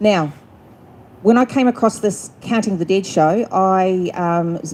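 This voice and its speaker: With an Australian accent, a woman speaks at a medium pitch in a dark, mellow tone, her pitch varying in an ordinary way. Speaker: event organiser and MC. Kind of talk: public speech at rally. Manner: loud.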